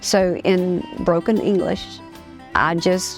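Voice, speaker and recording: A woman speaks with fairly even intonation at a fairly low pitch. Music plays in the background. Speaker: preacher; gospel singer. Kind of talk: personal story told to camera. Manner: casual, conversational.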